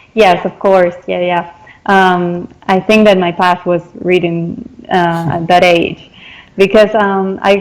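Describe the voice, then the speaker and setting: A woman speaks at a medium pitch in a Spanish accent. Her pace is very slow and her intonation monotone and flat. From Argentina, Salta. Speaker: translator and interpreter. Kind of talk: interview.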